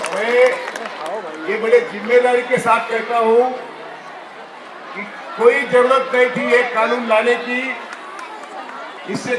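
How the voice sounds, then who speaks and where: A man's extremely high-pitched voice with audible room echo. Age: 80s+. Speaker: retired judge, activist. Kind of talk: protest rally speech. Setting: sit-in protest gathering. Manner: impassioned.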